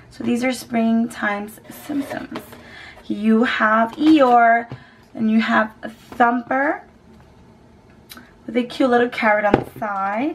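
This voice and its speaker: Over noticeable background noise, a woman with a fairly high pitch and ordinary pitch variation speaks at a very slow pace with long, frequent pauses. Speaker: beauty vlogger. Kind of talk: product review. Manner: animated.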